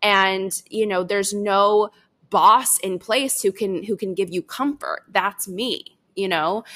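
Speaking in an American accent, a woman uses a bright, sharp tone and fairly even intonation. Her medium-pitched delivery is very slow. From Chicago suburbs, US Midwest. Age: 20s. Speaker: marketing agency founder. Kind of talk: casual interview chat.

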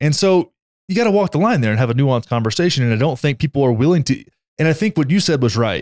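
With a Texan accent, the speaker races along at a very fast pace with very wide pitch swings and very even loudness, sounding dry and close with no echo on a very clean recording with a silent background. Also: man, fairly high pitch for a man. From Texas. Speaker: podcast co-host. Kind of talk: casual chat. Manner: animated.

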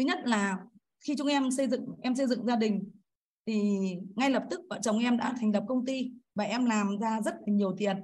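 A woman in a normal speaking voice talks at a fairly quick pace, with a fairly high pitch and ordinary pitch variation. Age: 50s. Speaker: course participant. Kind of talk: personal testimony. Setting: video call. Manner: formal, polite.

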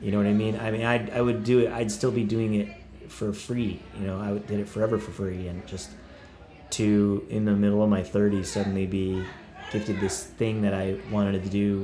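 Over noticeable background noise, a man with an American accent talks at a fairly quick pace in a fairly low pitch with monotone, flat intonation. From Oklahoma. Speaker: rock 'n roll musician touring artist. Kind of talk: casual interview chat.

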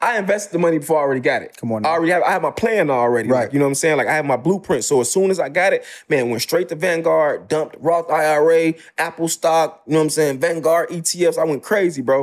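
Talking at a very fast pace with hardly any pauses, a man uses an animated tone and a fairly high pitch. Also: ordinary pitch variation. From Chicago South Side. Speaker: real estate investor. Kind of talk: casual interview.

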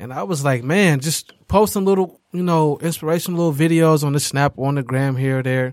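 A man with an American accent speaks at a fairly quick pace. His pitch is fairly high, with ordinary variation. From Detroit, Michigan. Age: 20s. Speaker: podcast host. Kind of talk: casual chat. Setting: studio. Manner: animated.

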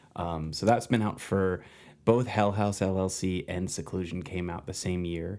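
In an American accent, a man speaks at a very deep, low pitch with a dark, mellow tone. His intonation is fairly even and his pace moderate. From New Jersey. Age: 30s. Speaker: screenwriter and filmmaker. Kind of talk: casual interview chat.

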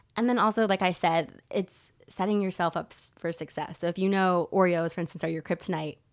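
This woman has an unremarkable speaking voice at a medium pitch, talking at a fairly quick pace with fairly even intonation on a very clean recording with a silent background. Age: 30s. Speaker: holistic nutritionist. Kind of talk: casual interview.

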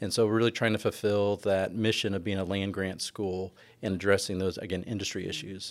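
Using an ordinary speaking voice, a man talks at a fairly quick pace with a fairly low pitch. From California. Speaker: professor. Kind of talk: interview.

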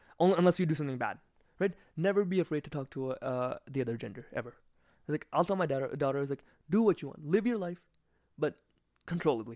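In a dark, mellow tone, a man talks very fast at a fairly high pitch, breaking with long, frequent pauses, the sound dry and close with no echo. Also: lively intonation, very clean recording, silent background. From India, Gujarat. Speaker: podcast guest. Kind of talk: casual chat. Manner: animated.

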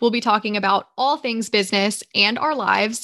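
Speaking at a fairly quick pace in a Southern US accent, a woman has a fairly high pitch and a bright, sharp tone. The recording is very clean, with a silent background. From Georgia, US South. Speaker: business owner, podcast co-host. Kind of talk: casual chat.

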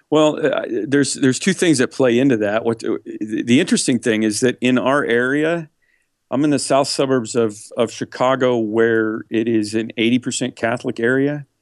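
A man with an unremarkable speaking voice talks at medium pitch and a moderate pace with ordinary pitch variation, the sound dry and close with no echo against a quiet background. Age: 50s. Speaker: megachurch pastor. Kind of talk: interview conversation.

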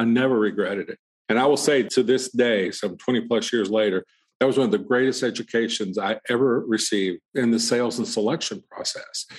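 His intonation stays fairly even. The man's pitch is medium. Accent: Southern US. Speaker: portrait photographer. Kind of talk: casual interview. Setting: studio sales room.

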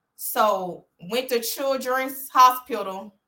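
A woman's bright, sharp tone with an Alabama accent. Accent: Southern US (Alabama). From US South, Birmingham, Alabama. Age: young. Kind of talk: interview.

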